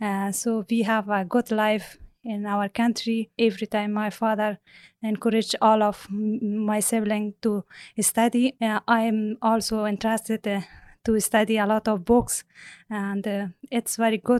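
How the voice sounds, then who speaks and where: At a fairly slow pace and in an Afghan accent, the voice stays monotone and flat, with a dry, close sound with no echo and a quiet background. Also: woman, fairly high pitch for a woman. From Afghanistan. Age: 30s. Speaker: former judge, student. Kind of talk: interview. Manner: halting, hesitant with fillers.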